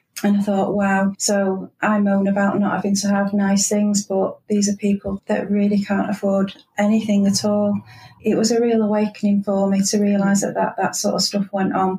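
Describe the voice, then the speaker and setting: A woman speaks in a Manchester accent at a medium pitch and moderate pace. Her intonation is monotone and flat, and her loudness stays very even. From Manchester, northern England. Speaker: transport company manager. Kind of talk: interview.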